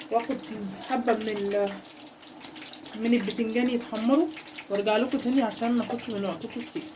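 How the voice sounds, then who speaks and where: Amid audible room echo and noticeable background noise, a woman speaks with ordinary pitch variation and long, frequent pauses. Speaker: cooking channel host. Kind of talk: cooking tutorial. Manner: casual.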